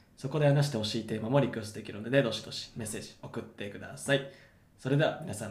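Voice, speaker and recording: Speaking at a very fast pace, a man with a medium pitch and ordinary pitch variation sounds somewhat breathy, with big swings in loudness and audible room echo. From Japan, Yokohama. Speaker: podcast host. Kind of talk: scripted outro; casual chat.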